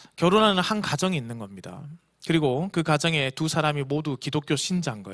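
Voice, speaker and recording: On a very clean recording with a silent background, a man talks at a fairly quick pace in a fairly high pitch. His intonation is lively, with big swings in loudness. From Korea, Busan. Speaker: pastor. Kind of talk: sermon. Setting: church.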